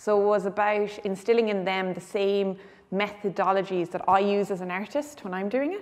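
In a western Irish accent, a woman speaks with fairly even intonation. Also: moderate pace. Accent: Irish (west of Ireland). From Ireland, Galway; Ireland. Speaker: visual artist. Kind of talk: gallery tour interview. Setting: art gallery. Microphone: lapel.

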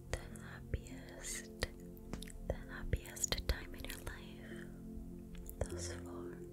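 Amid loud background noise, a woman speaks at a very slow pace with long, frequent pauses. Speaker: ASMR artist. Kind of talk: guided meditation for sleep. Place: home room. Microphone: studio mic.

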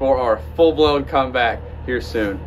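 A man at medium pitch and a fairly slow pace, with clear background noise

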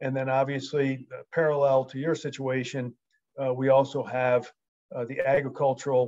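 A man with an American accent at a fairly slow pace over a quiet background. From United States. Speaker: wildlife management expert. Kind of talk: presentation. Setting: video call. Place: home room. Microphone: video call.

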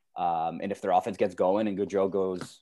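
A man with a Canadian accent and an ordinary speaking voice, fairly low-pitched, at a fairly quick pace against a quiet background. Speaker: podcast co-host. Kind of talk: casual chat.

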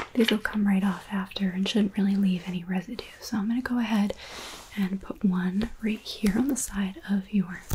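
A soft-spoken woman talks at a moderate pace with fairly even intonation. Light background noise can be heard. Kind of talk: soft-spoken role-play talk to the viewer. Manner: soft, hushed ASMR voice. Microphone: studio mic.

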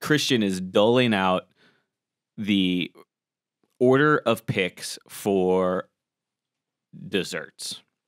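A man at a very slow pace and fairly low pitch, with ordinary pitch variation, long, frequent pauses and a quiet background. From Colorado and Florida, US. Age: 30s. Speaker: podcast host, former cooking show contestant; podcast host. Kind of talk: casual chat. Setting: studio. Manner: animated. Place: studio. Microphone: studio mic.

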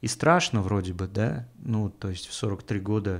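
Against a quiet background, a man with a fairly low pitch speaks at a fairly slow pace with ordinary pitch variation. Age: 40s. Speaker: podcast host, comedian. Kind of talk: casual monologue. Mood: ironic, critical, profane. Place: home room. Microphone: studio mic.

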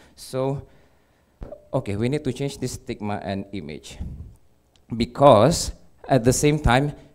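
Over a quiet background, a man talks at a fairly slow pace with vocal fry, big swings in loudness, and long, frequent pauses. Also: medium pitch for a man, ordinary pitch variation. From Malaysia. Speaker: electrical engineer, cosplayer, community leader; conference presenter. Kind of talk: conference talk. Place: hall.

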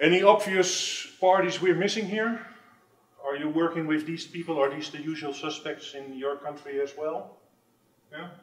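In a room with audible echo, a man with a fairly high pitch speaks with big swings in loudness. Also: ordinary pitch variation, moderate pace. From Netherlands. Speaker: tech industry manager. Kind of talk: conference presentation. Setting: stage with audience. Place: meeting room.

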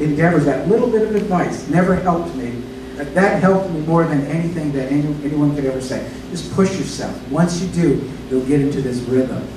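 Ordinary pitch movement in a man's speech, plus audible room echo and noticeable background noise. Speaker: pastor. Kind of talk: sermon. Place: church.

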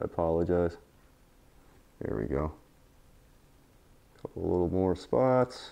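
A man's very deep, low voice, dark and mellow in tone, at a fairly slow pace with very wide pitch swings and long, frequent pauses. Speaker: painting instructor. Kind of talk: tutorial. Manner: gets quieter over time.

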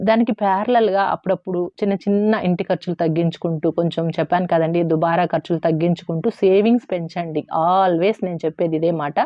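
Hers is an unremarkable speaking voice, a woman's, fairly low in pitch with fairly even intonation. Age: 40s. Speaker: YouTuber on savings and household finance. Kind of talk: casual advice monologue to viewers.

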